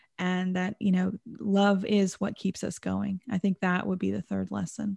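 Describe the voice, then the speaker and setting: A woman with an American accent talks at a fairly slow pace, her medium pitch carrying a dark, mellow tone over a quiet background. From Texas. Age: 30s. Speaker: numerology and life coach. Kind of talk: interview about personal trauma.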